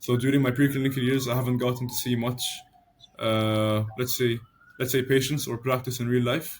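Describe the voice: At a medium pitch, a man talks at a moderate pace with little pitch movement.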